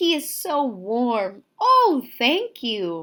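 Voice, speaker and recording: Using a put-on character voice, a woman speaks in a high pitch with very wide pitch swings. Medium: read story. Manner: sweet, wondering.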